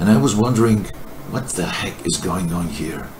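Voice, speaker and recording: With noticeable background noise and audible room echo, a man speaks in a very deep, low voice with a Greek accent. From Greece, countryside. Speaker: video testimony contributor. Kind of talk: personal testimony. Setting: recorded to camera. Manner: halting, hesitant.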